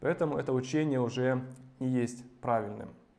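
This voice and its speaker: A man's medium-pitched voice at a moderate pace, with audible room echo. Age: 30s. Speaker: preacher. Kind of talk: sermon.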